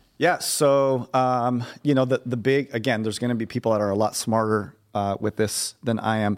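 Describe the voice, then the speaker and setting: Speaking with an American accent, a man uses medium pitch and fairly even intonation. He leaves hardly any pauses. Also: moderate pace. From US (Mexican American). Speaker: corporate chaplain. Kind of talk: casual chat. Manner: easy laugh.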